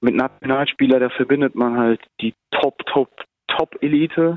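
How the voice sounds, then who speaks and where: A man speaks in a plain, everyday voice with fairly even intonation. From Germany. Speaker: amateur footballer, national team player. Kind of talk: interview.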